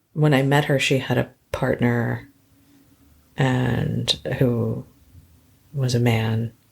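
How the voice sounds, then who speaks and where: The tone is soothing and relaxed, with monotone, flat intonation. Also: woman. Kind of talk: podcast interview answer. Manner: soothing, relaxed.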